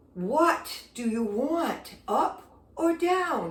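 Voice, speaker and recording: A woman uses a put-on character voice. Her pitch sits high. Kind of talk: curt, sharp. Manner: stern, brusque.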